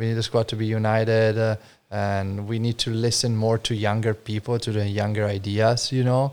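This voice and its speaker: In an Italian accent, the speaker talks at a moderate pace with monotone, flat intonation on a very clean recording with a silent background. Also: man, medium pitch for a man. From Friuli, Italy. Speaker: wine importer, business owner. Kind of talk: casual chat. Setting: informal studio, live on an audio app.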